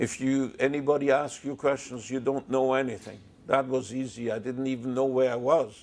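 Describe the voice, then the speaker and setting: A man speaks with a French accent at a moderate pace. His voice sits at a medium pitch. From Belgium. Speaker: Holocaust survivor. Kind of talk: testimony.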